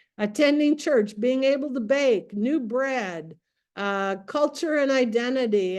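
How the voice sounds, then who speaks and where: Against a quiet background, a woman with a high voice speaks with an American accent and ordinary pitch variation. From US, Greek American family. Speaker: trainer. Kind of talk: online training session. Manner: animated.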